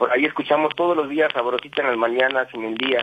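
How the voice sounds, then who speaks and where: The speech comes at a very fast pace in a central Mexican accent. Noticeable background noise sits behind it. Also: man. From Mexico City (Iztapalapa), raised in Querétaro. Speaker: radio caller. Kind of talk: personal story told on call-in radio. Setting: phone call.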